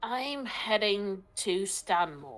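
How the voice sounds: Using a put-on character voice, a woman speaks very slowly at a medium pitch with big pitch swings and a fairly bright tone.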